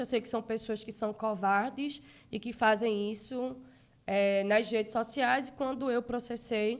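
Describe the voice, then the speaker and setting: In a very clean recording with a silent background, a woman with a northeastern Brazilian accent talks at a moderate pace, her fairly high-pitched voice keeping a fairly even intonation. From Brazil, Northeast (Recife, Pernambuco). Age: 30s. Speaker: city councillor, politician. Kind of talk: interview.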